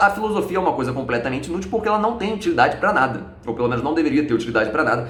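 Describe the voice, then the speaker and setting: A man's very fast, lively speech with audible room echo and music in the background. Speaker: philosophy YouTuber. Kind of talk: video lecture.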